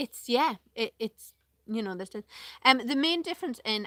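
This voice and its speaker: A woman with a Northeast English accent speaks with lively intonation and a bright, sharp tone. The sound is dry and close, with no echo. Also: very clean recording, silent background. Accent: Northeast English, regional. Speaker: vlogger. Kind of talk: casual live vlog chat. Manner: hesitant, many fillers.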